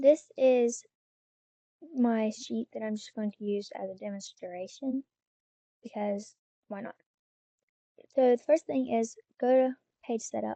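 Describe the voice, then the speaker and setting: A woman's fairly high, dark and mellow voice at a fairly slow pace, with ordinary pitch variation, big swings in loudness, long and frequent pauses, and a dry, close sound with no echo. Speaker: aspiring author. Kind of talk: screen-recorded tutorial narration. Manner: casual, rambling.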